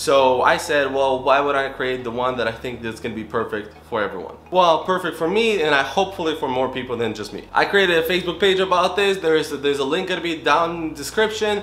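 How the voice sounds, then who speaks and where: A man's fairly high voice at a very fast pace with hardly any pauses, lively intonation and a non-native accent, amid audible room echo and noticeable background noise. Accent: foreign. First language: not English. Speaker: real estate wholesaler vlogger. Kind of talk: casual vlog.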